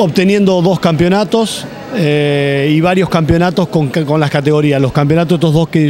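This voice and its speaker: With light background noise and a dry sound with no echo, a man talks at a fairly slow pace. His pitch is fairly high, with ordinary variation. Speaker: sports director and coach. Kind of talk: interview; interview answer. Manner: halting, with many fillers. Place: hall. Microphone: handheld.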